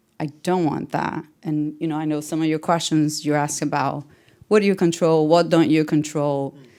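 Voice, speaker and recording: With a Portuguese accent, a woman speaks at a moderate pace in a very deep, low, dark, mellow voice. Her intonation is monotone and flat, and the recording is very clean with a silent background. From Brazil. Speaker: tech manager. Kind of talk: panel interview.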